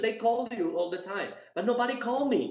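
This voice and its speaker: A non-native accent colors the speech. It moves along at a moderate pace. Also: man. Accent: non-native English, self-described weak. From Cuba, moved to Colombia as a teenager. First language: Spanish. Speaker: dog show judge and handler. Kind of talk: interview. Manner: halting, many repetitions.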